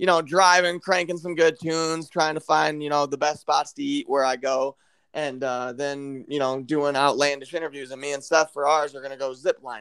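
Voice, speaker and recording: Speaking with a Midwestern American accent, a man keeps a moderate pace with hardly any pauses. His pitch is fairly high and his intonation fairly even. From Michigan. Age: 20s. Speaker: podcast host. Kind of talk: casual chat.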